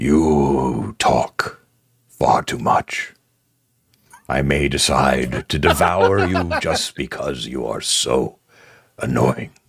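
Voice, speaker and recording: In a put-on character voice that is raspy and gravelly, the speaker goes at a very slow pace with long, frequent pauses. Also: man, very deep, low pitch for a man. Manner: menacing, imperious.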